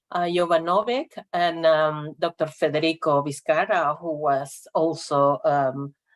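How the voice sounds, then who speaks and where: A woman's very deep, low voice in a Spanish accent, fairly even in intonation and fairly slow in pace. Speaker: regional network representative. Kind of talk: conference presentation. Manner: halting, many fillers.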